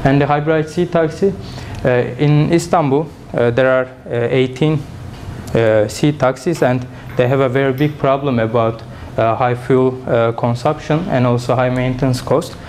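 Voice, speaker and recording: A man speaks at medium pitch and a moderate pace, with fairly even intonation and very even loudness. Audible room echo and noticeable background noise come through. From Turkey. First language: Turkish. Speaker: engineering student and startup founder. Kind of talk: conference presentation; audience Q&A. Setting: conference with audience. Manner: halting, many fillers.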